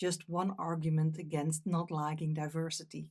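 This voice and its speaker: A Dutch accent at a moderate pace, with fairly even intonation, on a very clean recording with a silent background. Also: woman. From Netherlands. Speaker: meditation teacher. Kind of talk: talk.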